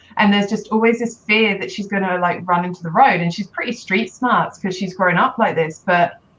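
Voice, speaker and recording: A woman with a British accent at a fairly quick pace, her intonation fairly even. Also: medium pitch for a woman. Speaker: life coach for mothers. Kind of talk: interview. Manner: loud.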